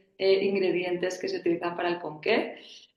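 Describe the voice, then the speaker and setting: With a Spanish accent, a woman talks at a medium pitch, and the room echo is audible. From Spain. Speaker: family business board member. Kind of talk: panel discussion.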